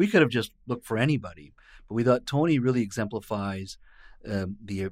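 A man with a Canadian accent talks in an ordinary speaking voice, pitched fairly low with ordinary pitch variation. The recording is very clean, with a silent background. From British Columbia, Canada (born in India). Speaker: provincial politician, former journalist. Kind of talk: casual interview. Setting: studio.

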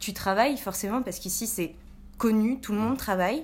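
A woman talks at a very fast pace. Her pitch is fairly high, with ordinary pitch variation. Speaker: student. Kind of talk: casual debate.

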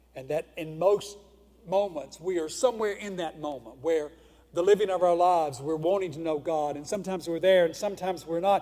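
With a Mississippi accent, a man speaks at a high pitch. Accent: Southern US (Mississippi). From US South, northeast Mississippi. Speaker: pastor. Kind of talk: sermon. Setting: church.

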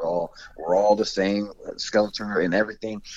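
Speaking at a fairly quick pace, a man with an American accent uses a plain, everyday voice pitched fairly low. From Central Florida (Kissimmee). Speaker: former college basketball player. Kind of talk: interview.

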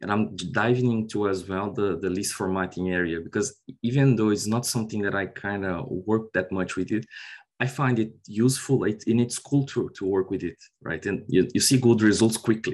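With a Portuguese accent, a man talks at a moderate pace in a fairly low pitch with ordinary pitch variation against a quiet background. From Brazil. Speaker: software consultant. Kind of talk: interview.

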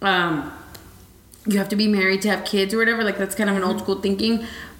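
A woman of medium pitch talks at a fairly quick pace. Noticeable background noise can be heard. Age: 20s. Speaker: podcast host. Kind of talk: casual chat.

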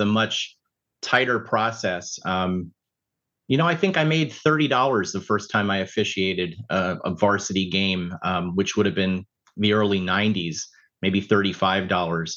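Man at a moderate pace against a quiet background. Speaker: sports official. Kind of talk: casual chat.

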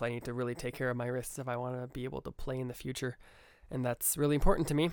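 A man speaks in an upbeat tone at a medium pitch. His pace is very fast. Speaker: podcast host and music student. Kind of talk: casual solo podcast monologue. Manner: fast talker, upbeat, filler words.

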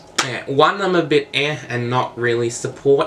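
Someone with an Australian accent speaks at a moderate pace over noticeable background noise. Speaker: political commentary vlogger. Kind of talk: casual opinion monologue.

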